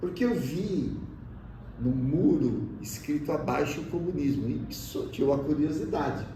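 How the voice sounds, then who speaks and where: Fairly high male voice with lively intonation, a fairly slow pace, and audible room echo. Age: 60s. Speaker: teacher. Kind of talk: interview testimony. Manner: hesitant, with filler sounds.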